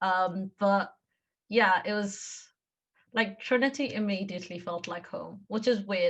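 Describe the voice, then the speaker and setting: Against a quiet background, a woman speaks fairly slowly at a medium pitch, her voice somewhat breathy. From Kenya. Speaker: engineering student. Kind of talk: interview. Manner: casual, filler-heavy.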